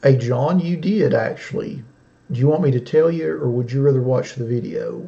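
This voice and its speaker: A man's mumbling, fairly high-pitched voice with a Southern US accent and lively intonation. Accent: southern drawl. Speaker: sports card breaker, live streamer. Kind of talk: casual live stream chat. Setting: live stream. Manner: soft-spoken, not loud.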